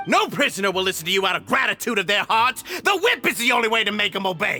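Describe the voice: Over faint background music, a man uses a put-on character voice, high-pitched with a bright, sharp tone, big pitch swings, and a fast pace.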